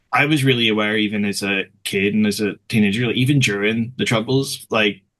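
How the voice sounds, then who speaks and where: A man speaks with a Belfast accent at a fairly quick pace. His pitch is fairly low and his intonation fairly even. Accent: Belfast Northern Irish. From Northern Ireland, West Belfast. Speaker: author. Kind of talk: casual chat.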